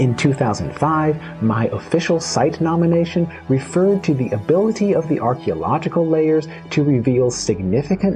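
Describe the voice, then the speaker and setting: Music in the background under speech of moderate pace. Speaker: archaeologist. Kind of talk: educational lecture narration.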